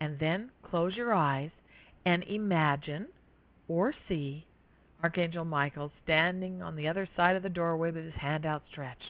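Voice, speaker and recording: Fairly low in pitch, this woman has an unremarkable speaking voice. She speaks fairly slowly with ordinary pitch variation. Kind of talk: guided meditation.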